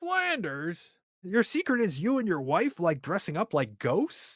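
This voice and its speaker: A man's put-on character voice at a high pitch and moderate pace. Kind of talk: comic impression. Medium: read story.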